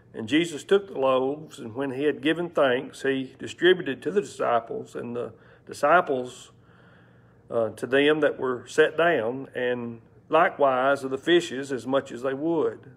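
A man at a moderate pace with ordinary pitch variation and big swings in loudness. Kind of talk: scripture reading. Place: church. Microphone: lapel.

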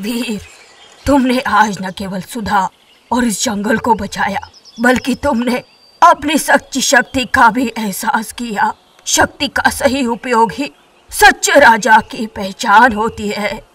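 A female-sounding put-on character voice, fairly high in pitch, at a fairly slow pace. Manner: wise, approving.

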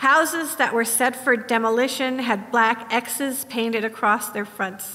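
Her voice is high for a woman, and her intonation stays fairly even. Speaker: sermon preacher. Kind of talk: sermon. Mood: reflective, mournful. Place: church.

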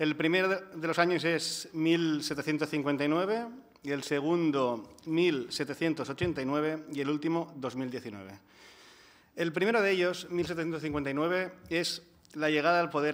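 A man with a Catalan accent, fairly high pitch, ordinary pitch variation and a very slow pace. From Catalonia. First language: Catalan (speaking Spanish). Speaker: housing and energy rights activist; speaker. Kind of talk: panel talk. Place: hall. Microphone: podium.

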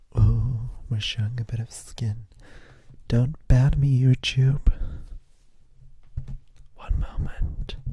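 A soft-spoken man whispers, somewhat breathy, at a very slow pace with long, frequent pauses, the sound dry with no echo against a quiet background. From UK. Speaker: ASMR creator. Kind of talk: casual talk to camera, ASMR show and tell. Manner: soft-spoken, whispering. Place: home room. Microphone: handheld.

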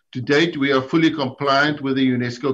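A man talks in a plain, everyday voice. He keeps a moderate pace and fairly even intonation. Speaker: anti-doping agency executive. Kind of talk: formal briefing. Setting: video call. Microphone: video call.

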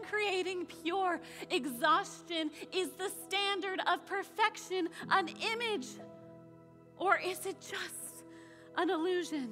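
A woman speaks very slowly in an extremely high, raised, projected voice with ordinary pitch variation. Long, frequent pauses break up her speech, and faint music plays in the background. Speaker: spoken word poet. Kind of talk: spoken word poetry performance. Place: stage.

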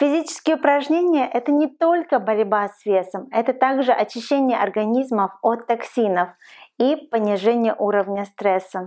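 Against a quiet background, a woman with a fairly high pitch and a dark, mellow tone speaks with lively intonation and big swings in loudness. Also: moderate pace. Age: 40s. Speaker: lifestyle vlogger. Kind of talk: advice vlog monologue. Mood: warm, encouraging. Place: home room.

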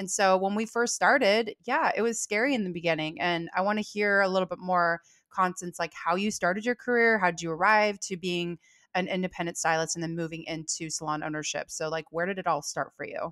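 A woman speaks with an American accent at a fairly quick pace. Her pitch varies in an ordinary way, and the background is quiet. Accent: Californian, noticed by Southerners. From California. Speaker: salon owner and business coach. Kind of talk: casual chat. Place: home room. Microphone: studio mic.

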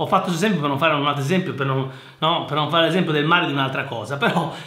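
The speaker is a man. His voice carries audible room echo. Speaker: engineer and educational youtuber; private tutor. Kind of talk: casual commentary reading listener mail. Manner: halting, repetitive. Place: office. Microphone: webcam.

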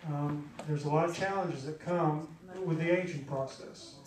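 A man speaks at a moderate pace in a monotone, flat delivery. Audible room echo and light background noise are present. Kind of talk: church announcements and exhortation. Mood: earnest, concerned. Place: church.

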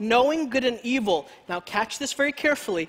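A man's voice at an extremely high pitch with a fairly bright tone

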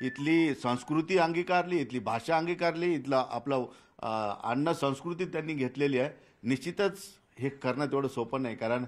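Recorded very cleanly against a silent background, a man with a plain, everyday voice speaks at a fairly high pitch with ordinary pitch variation. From Aurangabad, Maharashtra, India. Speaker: TV news reporter. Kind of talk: field report and interview.

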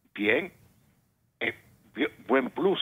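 A man speaks at a moderate pace. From Dominican Republic. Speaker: engineer, caller; caller. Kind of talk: call-in political opinion. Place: studio.

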